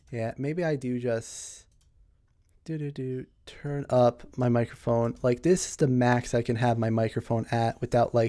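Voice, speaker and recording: A man with a medium pitch speaks quietly in a dark, mellow tone. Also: fairly even intonation, fairly slow pace. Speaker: streamer. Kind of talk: casual live stream chat. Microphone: microphone too quiet, gain adjusted.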